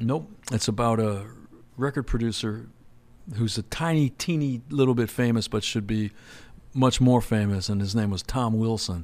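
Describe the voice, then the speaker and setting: A man talks at a moderate pace and medium pitch, with ordinary pitch variation and long, frequent pauses. The recording is very clean, with a silent background. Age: 60s. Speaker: songwriter and record maker. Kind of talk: casual interview chat.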